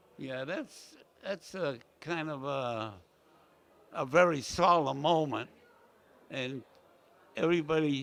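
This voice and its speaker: The man's voice sits fairly high, with ordinary pitch variation. He talks at a very slow pace, leaving long, frequent pauses. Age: 90s. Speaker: war veteran. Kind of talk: casual interview. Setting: veterans luncheon event. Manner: halting.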